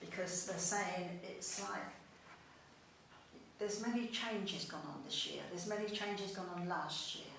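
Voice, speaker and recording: A woman with a London accent speaks at a moderate pace and medium pitch, her intonation fairly even. Long, frequent pauses break up her speech, with audible room echo and noticeable background noise. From East London. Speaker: spiritualist medium. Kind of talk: mediumship demonstration. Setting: spiritualist church service.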